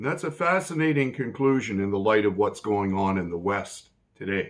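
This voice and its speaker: Very wide pitch swings mark a man's fairly low-pitched voice. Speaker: political commentary vlogger. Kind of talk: political commentary monologue. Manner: slow; precise, deliberate.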